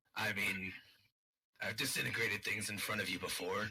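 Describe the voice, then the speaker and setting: A man speaks in a put-on character voice, raspy and fairly low-pitched. His pace is moderate. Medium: actual play.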